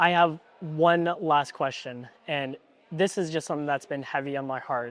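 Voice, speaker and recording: This man has an ordinary speaking voice with a fairly high pitch. His intonation stays fairly even. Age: 20s. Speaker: video creator and interviewer. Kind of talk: interview. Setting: at a mastermind event.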